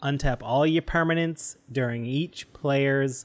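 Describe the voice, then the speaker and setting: An ordinary speaking voice with a Canadian accent and fairly even intonation. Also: man. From Canada. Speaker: podcast co-host. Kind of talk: casual chat.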